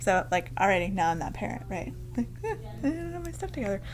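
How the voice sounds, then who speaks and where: Over music in the background, a woman speaks at a very fast pace. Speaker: podcast host, yarn shop owner. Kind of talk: casual chat. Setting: yarn shop. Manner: loud; animated.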